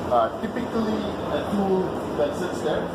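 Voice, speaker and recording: Loud background noise around a male voice. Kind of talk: tour guide explanation. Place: factory.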